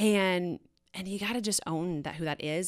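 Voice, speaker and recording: On a very clean recording with a silent background, a woman with a fairly low pitch speaks in an animated tone. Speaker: fitness coach. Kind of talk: casual chat. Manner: loud.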